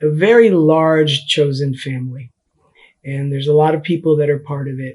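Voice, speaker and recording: A man speaks in a fairly high pitch with fairly even intonation. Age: 60s. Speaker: community mentor. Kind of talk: interview testimony.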